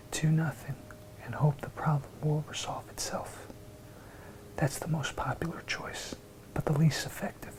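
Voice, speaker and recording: A man whispers at a moderate pace, leaving long, frequent pauses. Background noise is noticeable. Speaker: ASMR creator. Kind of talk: ASMR book reading. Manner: soft-spoken, whispery.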